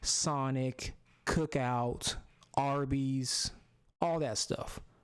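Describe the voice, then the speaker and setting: A man with an American accent, fairly high pitch, monotone, flat intonation and a very slow pace. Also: very even loudness. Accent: Southern, comes out with Southerners. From US South. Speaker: YouTuber, gaming content creator. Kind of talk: casual commentary monologue. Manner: casual, filler-heavy.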